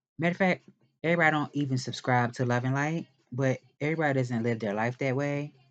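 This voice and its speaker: A man of medium pitch speaks at a moderate pace with ordinary pitch variation. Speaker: tarot reader. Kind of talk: tarot reading monologue. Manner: hesitant, many fillers.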